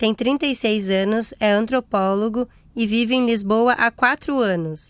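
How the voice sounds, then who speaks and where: A woman's fairly high voice, an ordinary speaking voice, at a fairly slow pace with very even loudness and ordinary pitch variation, in a dry, close sound with no echo on a very clean recording with a silent background. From Brazil. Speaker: podcast host. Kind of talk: scripted narration.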